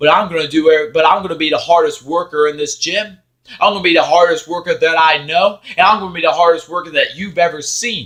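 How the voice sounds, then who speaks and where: Loud and very fast, a man speaks in a high voice with a bright, sharp tone and fairly even intonation. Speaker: motivational vlogger. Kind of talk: motivational monologue.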